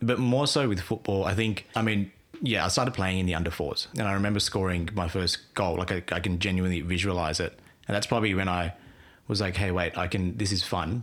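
Fairly quick and very even in loudness, the voice carries an Australian accent with ordinary pitch variation. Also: man, very deep, low pitch for a man. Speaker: podcast guest, football fan. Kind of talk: casual chat.

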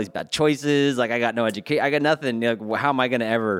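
In a very clean recording with a silent background, a man speaks with an American accent at a very fast pace. His voice sits at a medium pitch with ordinary pitch variation. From California (Lake County, then Bay Area). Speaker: church staff member and graduate student. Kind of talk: testimony.

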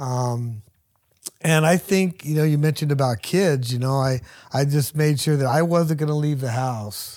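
Speaking in a normal speaking voice at a moderate pace, a man with an American accent has a fairly high pitch and ordinary pitch variation. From Hayward, California (East Bay). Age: 60s. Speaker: truck driver and operators union worker. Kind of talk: personal testimony in interview.

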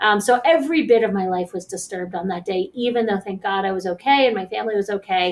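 A woman with an American accent talks at a medium pitch. Her pace is very fast. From Pittsburgh, Pennsylvania. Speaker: licensed counselor and nonprofit director. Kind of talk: interview.

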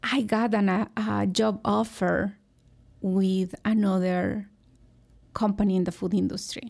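A woman with a Mexican accent, fairly even intonation, very even loudness and long, frequent pauses, on a very clean recording with a silent background. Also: medium pitch for a woman, fairly slow pace. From Mexico, Hidalgo. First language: Spanish. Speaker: food company executive. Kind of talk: interview. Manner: hesitant, many fillers.

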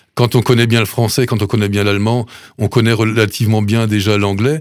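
A man's normal speaking voice of medium pitch at a fairly quick pace, on a very clean recording with a silent background. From Alsace, Sélestat. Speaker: food bank president, retired mayor. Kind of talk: radio interview. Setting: studio.

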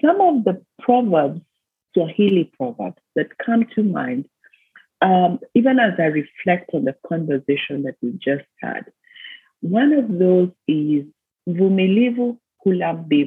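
A woman with a Kenyan accent talks at a fairly slow pace in a medium pitch, her voice swinging very widely up and down. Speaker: business consultant and leadership mentor. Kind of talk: interview.

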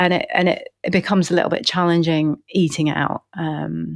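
This woman has a fairly low voice. She speaks with an English accent. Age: 40s. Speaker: nutrition and fertility chef. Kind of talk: casual interview chat. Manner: hesitant, many fillers.

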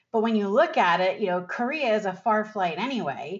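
A woman's normal speaking voice at medium pitch, with ordinary pitch variation. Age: 50s. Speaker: financial advisor podcast host. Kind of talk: solo podcast talk.

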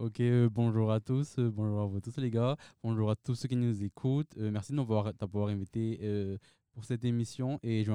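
With a dry, close sound, no echo and a quiet background, a man speaks in a normal speaking voice at medium pitch and a moderate pace, his intonation fairly even. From Madagascar. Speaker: university student. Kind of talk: panel discussion interview.

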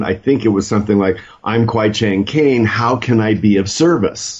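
At a moderate pace, a man with a plain, everyday voice talks at a medium pitch with fairly even intonation. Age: 60s. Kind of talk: casual panel discussion.

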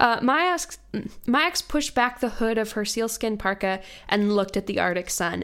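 In an American accent, a woman with an unremarkable speaking voice talks at a moderate pace, medium in pitch with lively intonation. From US, Virginia. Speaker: podcast host. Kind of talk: casual chat.

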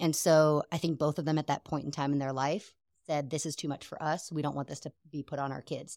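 Her pitch very deep and low and her intonation monotone and flat, a woman is recorded very cleanly against a silent background, the sound dry and close with no echo. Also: fairly quick pace. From Seattle, US Pacific Northwest. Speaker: guest, newlywed wife. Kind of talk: casual interview chat.

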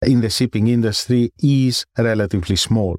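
A man with a Greek accent at medium pitch and moderate pace, dry, close sound with no echo, very clean recording and silent background. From Greece. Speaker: professor. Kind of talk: interview. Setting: studio. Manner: formal.

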